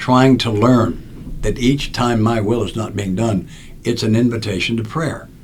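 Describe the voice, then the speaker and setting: Audible room echo around a man's medium-pitched, somewhat breathy voice, with ordinary pitch variation and a moderate pace. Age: 80s+. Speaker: recovery speaker and author. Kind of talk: podcast interview storytelling. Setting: studio.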